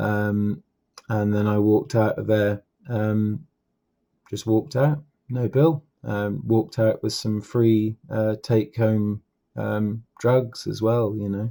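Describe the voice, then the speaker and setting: In an English accent, the speaker talks very slowly in a dark, mellow tone with fairly even intonation, on a very clean recording with a silent background. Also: man, fairly low pitch for a man. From England. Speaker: political commentator. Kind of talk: casual commentary monologue. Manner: hesitant with many fillers and repetitions.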